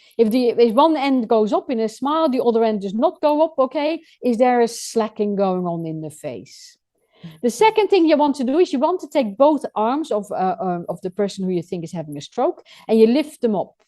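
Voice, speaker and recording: A woman speaks at a high pitch and a fairly quick pace. Her tone is dark and mellow, with very wide pitch swings. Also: big swings in loudness. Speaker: first aid trainer. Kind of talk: radio interview explaining first aid. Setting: pre-recorded radio show. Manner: fast.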